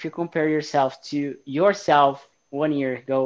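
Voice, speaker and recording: A man speaks in a Portuguese accent at a medium pitch. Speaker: podcast host. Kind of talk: casual interview.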